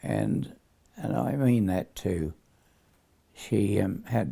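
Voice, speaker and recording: Someone with a New Zealand accent speaks at a very slow pace. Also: man. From Perth, Australia. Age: 90s. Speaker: war veteran. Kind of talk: casual chat. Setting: at home. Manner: halting.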